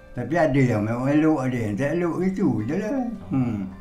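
Faint music plays in the background as the speaker's pitch swings very widely. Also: man. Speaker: former paddy instructor. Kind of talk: interview answer. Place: home room. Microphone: lapel.

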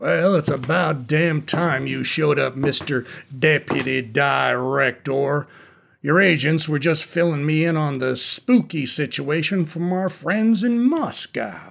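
A man puts on a gruff character voice at a fairly high pitch. He speaks at a fairly slow pace. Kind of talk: 1960s cold war radio drama. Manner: gruff, impatient, profane.

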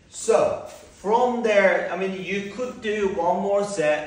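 A man at a very slow pace, with ordinary pitch variation and audible room echo. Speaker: fitness instructor. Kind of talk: exercise class instruction. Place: gym.

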